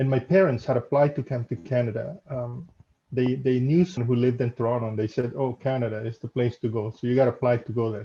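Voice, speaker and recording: A man with a Spanish accent speaks at a fairly quick pace in a medium pitch, his dark, mellow tone somewhat breathy. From El Salvador. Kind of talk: casual interview.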